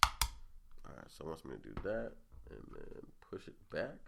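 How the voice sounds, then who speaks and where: A man's bright, sharp voice with vocal fry. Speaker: podcast host. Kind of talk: casual monologue. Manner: casual, rambling.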